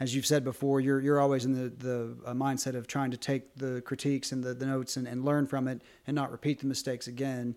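In a very clean recording with a silent background, the voice races at a very fast pace with hardly any pauses and a monotone, flat intonation. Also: man, medium pitch for a man. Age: 40s. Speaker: webcomic writer. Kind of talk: casual chat.

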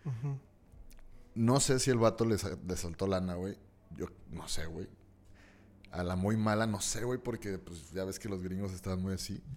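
A man's voice with a Mexican accent, fairly slow with long, frequent pauses and ordinary pitch variation. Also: fairly low pitch for a man. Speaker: comedian. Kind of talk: casual chat.

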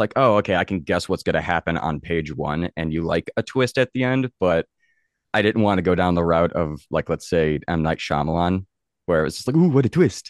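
A man with an American accent speaks at a moderate pace and a very deep, low pitch. The sound is dry and close with no echo, over a quiet background. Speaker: paranormal investigator and author. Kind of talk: casual interview chat, storytelling. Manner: halting, filler words.

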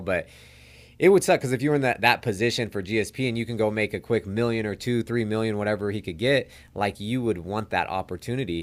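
A man with a normal speaking voice talks at a fairly quick pace with ordinary pitch variation. The recording is very clean, with a silent background. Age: 30s. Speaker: professional MMA fighter. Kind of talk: casual chat.

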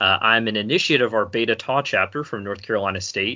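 A man talks in an ordinary speaking voice. His pitch is fairly low with ordinary variation. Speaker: incoming podcast host. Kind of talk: casual chat.

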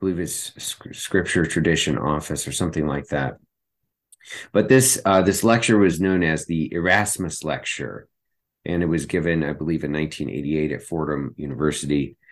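Against a quiet background, a man with a very deep, low pitch and vocal fry talks with ordinary pitch variation. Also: moderate pace. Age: 40s. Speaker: theologian, podcast co-host. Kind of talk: casual theological discussion. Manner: halting, many fillers.

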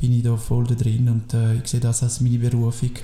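A man with a somewhat breathy, dark, mellow tone speaks at medium pitch and a fairly quick pace. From Biel, Switzerland (French-speaking). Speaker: sports teacher and coach. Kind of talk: casual chat. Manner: halting.

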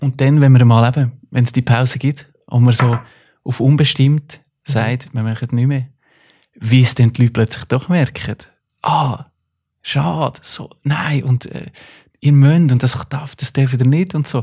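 With a dark, mellow tone and a somewhat breathy quality, a man speaks at medium pitch and a fairly slow pace, with fairly even intonation and long, frequent pauses. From Central Switzerland, Stans (Nidwalden). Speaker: artist and musician. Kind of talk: casual chat.

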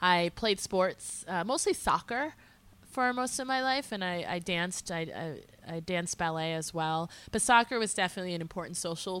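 In a very clean recording with a silent background, a woman with a normal speaking voice talks at a moderate pace and medium pitch with ordinary pitch variation. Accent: American. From Massachusetts, small town north of Boston. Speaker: social entrepreneur, education nonprofit director. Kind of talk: casual interview.

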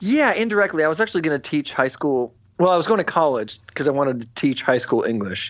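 Talking at a very fast pace, a man with a fairly high pitch makes very wide pitch swings. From US Midwest, Illinois. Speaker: musician and record label executive. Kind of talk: casual interview chat. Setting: home studio, remote interview.

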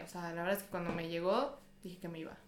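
Very fast speech with audible room echo and noticeable background noise. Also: woman. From Mexico. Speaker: university student. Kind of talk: casual chat.

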